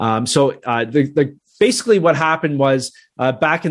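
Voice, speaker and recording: A man speaks with a Canadian accent in an ordinary speaking voice, his pitch fairly high. His pace is moderate, and the background is quiet. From Canada. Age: 30s. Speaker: real estate investor. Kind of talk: interview.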